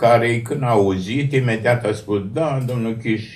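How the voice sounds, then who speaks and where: Very slow male speech with fairly even intonation. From Romania. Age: 80s+. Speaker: writer and poet; poet. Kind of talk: TV interview. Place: studio.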